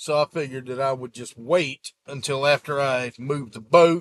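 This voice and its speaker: The dry, close recording with no echo carries a man's fairly high voice in a Gulf Coast accent. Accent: Southern US (Gulf Coast). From US Gulf Coast (South Mississippi / Florida). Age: 40s. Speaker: YouTuber, sailboat owner. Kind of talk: casual vlog update. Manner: casual, rambling with fillers.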